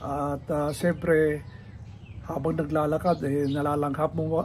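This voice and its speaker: A man's somewhat breathy, fairly high voice with audible room echo. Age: 70s. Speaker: senior health vlogger. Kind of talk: casual vlog talk. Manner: hesitant, many fillers.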